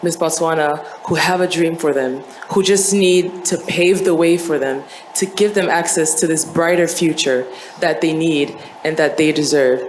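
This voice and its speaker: A woman speaks at a fairly low pitch. There is noticeable background noise. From Côte d'Ivoire. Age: 20s. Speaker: beauty pageant contestant. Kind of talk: pageant speech.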